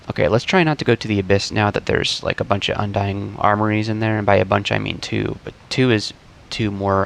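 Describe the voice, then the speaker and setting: A man's fairly low voice at a very fast pace, with noticeable background noise. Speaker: gaming video creator. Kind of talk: gameplay commentary. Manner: casual, hesitant with fillers.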